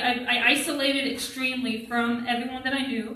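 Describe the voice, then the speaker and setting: A woman's raised, projected voice, high in pitch, with audible room echo. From Vermont. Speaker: college student. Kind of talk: testimony.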